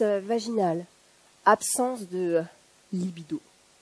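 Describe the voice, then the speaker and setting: A woman speaking at a moderate pace. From northern France. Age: 50s. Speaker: factory worker and activist public speaker. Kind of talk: one-person political stage talk. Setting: stage with audience.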